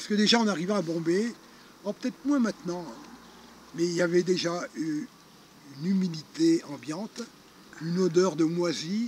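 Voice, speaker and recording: Over noticeable background noise, a man with a high voice speaks at a moderate pace, pitch varying in an ordinary way, with long, frequent pauses. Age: 60s. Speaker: retired charity founder. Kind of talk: interview storytelling. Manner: hesitant, many fillers.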